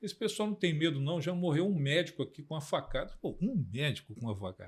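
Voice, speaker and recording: Pitched high with lively intonation, a man talks at a very fast pace. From Rio de Janeiro, Brazil. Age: 70s. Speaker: political scientist. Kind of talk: podcast interview.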